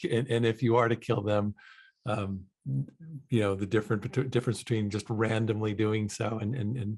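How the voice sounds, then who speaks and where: A man's medium-pitched, somewhat breathy voice at a moderate pace, with a General American accent. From Seattle, US Pacific Northwest. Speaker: podcast host, actor. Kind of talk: interview conversation. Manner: halting, many fillers.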